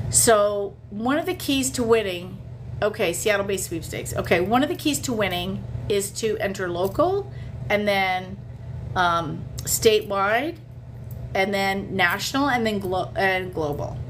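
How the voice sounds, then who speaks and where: A woman at medium pitch, fairly slow pace, very wide pitch swings, and light background noise. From Canada. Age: 50s. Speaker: sweepstakes coach and livestreamer; sweepstakes coach, livestreamer. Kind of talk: casual livestream chat. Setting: hotel in Las Vegas. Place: home room. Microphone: phone near.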